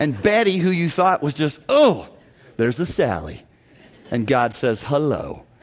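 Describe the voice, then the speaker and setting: A fairly high-pitched man at a moderate pace with lively intonation, over noticeable background noise. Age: 50s. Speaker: guest preacher. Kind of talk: sermon. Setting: church.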